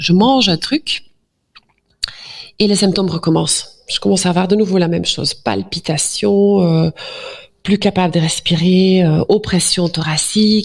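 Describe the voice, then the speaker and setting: Her pitch sits at a medium level for a woman, with ordinary variation. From Flanders, Belgium. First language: Dutch (speaking French). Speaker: doctor. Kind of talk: interview. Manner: hesitant, many fillers.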